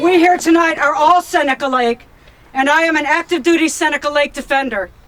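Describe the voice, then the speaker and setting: A woman's high voice with an American accent at a fairly quick pace, over noticeable background noise. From upstate New York, Corning. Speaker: retired military veteran and activist. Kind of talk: protest speech. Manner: emphatic, rhetorical.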